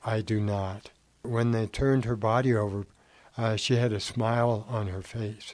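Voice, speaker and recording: Monotone, flat intonation at a moderate pace. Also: man, medium pitch for a man. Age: 70s. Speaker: brother of a murdered missionary. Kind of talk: testimony. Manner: halting, with fillers.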